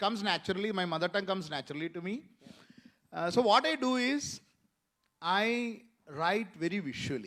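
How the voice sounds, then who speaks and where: A man with a Kerala Indian accent, high-pitched with a bright, sharp tone, at a fairly quick pace in a very clean recording with a silent background. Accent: Malayali Indian English. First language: Malayalam. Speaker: author and screenwriter. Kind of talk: panel discussion. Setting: stage with audience at literature festival. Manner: hesitant, many fillers.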